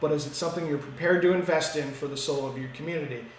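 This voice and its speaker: Noticeable background noise and audible room echo around a man's fairly high voice. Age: 30s. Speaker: municipal councillor. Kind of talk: casual interview. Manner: fast; energetic.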